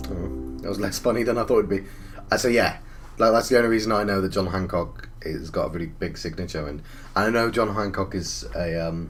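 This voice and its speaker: Speaking fairly quickly in an English accent, a man with a very deep, low pitch uses lively intonation in a room with audible echo. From England. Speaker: gaming YouTuber. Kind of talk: let's play commentary. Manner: halting.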